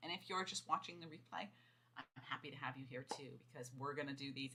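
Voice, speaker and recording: The speaker has an American accent and a bright, sharp tone. The delivery is very fast, with ordinary pitch variation. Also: woman. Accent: sometimes Boston. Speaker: fiction author and writing coach. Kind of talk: livestream chat to viewers. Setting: livestream video. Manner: enthusiastic.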